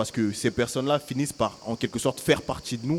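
The man has a normal speaking voice and a fairly quick pace. His pitch varies in an ordinary way. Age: young. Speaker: young festival participant. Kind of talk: live public radio panel chat.

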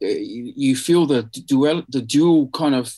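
This man speaks with a New Zealand accent. His pitch sits fairly high. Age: 50s. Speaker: artist. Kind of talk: interview. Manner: halting.

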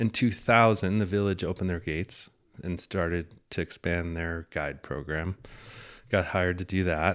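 A man's very deep, low voice with an American accent, in a very clean recording with a silent background. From US Midwest, Iowa. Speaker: fly fishing and ski guide. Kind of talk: casual interview chat.

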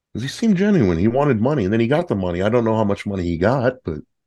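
Very fast American-accented speech from a man with a dark, mellow tone and very wide pitch swings, over a quiet background. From northern California. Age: 30s. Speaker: guest, podcast fan. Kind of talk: casual chat. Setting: remote call.

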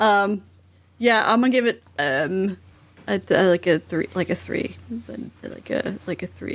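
Vocal fry runs through a woman's speech, which has lively intonation. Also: medium pitch for a woman, fairly slow pace. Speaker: returning podcast guest. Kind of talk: casual comedic chat.

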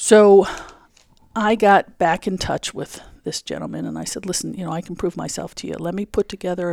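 A woman's plain, everyday voice, fairly low in pitch, at a fairly quick pace with fairly even intonation, in a very clean recording with a silent background. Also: dry, close sound with no echo. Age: 50s. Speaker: engineering association president. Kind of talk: interview. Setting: conference room.

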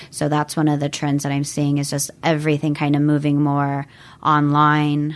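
In a very clean recording with a silent background, a woman talks at a moderate pace in a very deep, low voice with monotone, flat intonation. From US Pacific Northwest (Washington State, Everett area). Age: 30s. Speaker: realtor and yoga instructor. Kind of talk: interview. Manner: calm.

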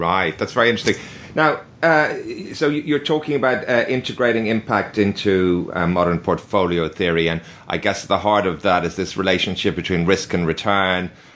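A man with a fairly low pitch has an ordinary speaking voice. His intonation is lively. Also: moderate pace. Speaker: podcast host. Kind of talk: interview.

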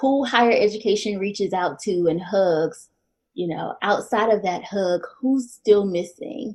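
Speaking at a fairly slow pace with an American accent, a woman has an unremarkable speaking voice at a medium pitch. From North Carolina, Winston-Salem. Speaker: PhD candidate. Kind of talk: casual interview conversation.

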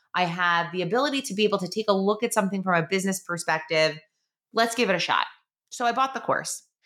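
A woman speaks very fast in a New York accent, at medium pitch with ordinary pitch variation. Her tone is bright and sharp. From New York, Long Island. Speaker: podcast host, online business coach. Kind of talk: casual monologue.

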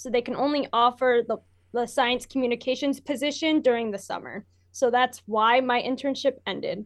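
A woman speaks in an American accent at a high pitch, her intonation fairly even. The background is quiet. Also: moderate pace. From Michigan, US. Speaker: university student and intern. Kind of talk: casual interview.

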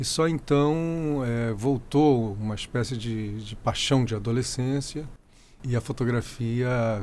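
A man speaks at a medium pitch in a normal speaking voice. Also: very clean recording, silent background. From Rio de Janeiro, Brazil. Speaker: photographer and architect. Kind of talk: interview.

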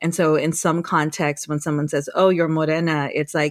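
A woman speaks in a flat monotone at a moderate pace and a fairly low pitch, recorded very cleanly against a silent background. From Guam. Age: 40s. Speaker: professor and researcher. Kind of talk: casual interview. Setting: studio.

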